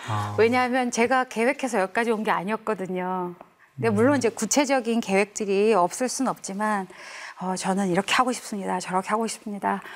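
A woman with a normal speaking voice talks at a fairly quick pace, her medium pitch showing ordinary pitch variation. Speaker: gospel singer. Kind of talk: interview.

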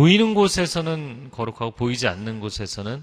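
With lively intonation at a moderate pace, this is a plain, everyday voice. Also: man. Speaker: pastor. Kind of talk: sermon.

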